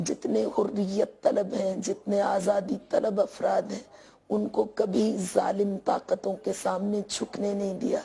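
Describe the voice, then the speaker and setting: Barely pausing, a woman speaks at a very slow pace. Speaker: religious speaker. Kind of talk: formal religious speech. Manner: formal.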